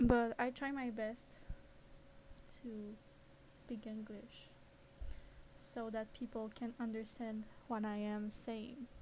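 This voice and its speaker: With a non-native accent, a woman in a fairly high pitch speaks very slowly in a monotone, flat intonation, with long, frequent pauses. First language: not English. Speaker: 3D animation content creator. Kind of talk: live-streamed software tutorial. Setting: live stream. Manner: hesitant, with fillers.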